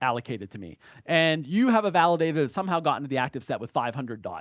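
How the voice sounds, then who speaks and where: Speaking very fast in an American accent, a man uses a high pitch with very wide pitch swings, in a very clean recording with a silent background and a dry, close sound with no echo. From United States. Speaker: blockchain educator, conference speaker. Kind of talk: conference talk. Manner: halting, many fillers.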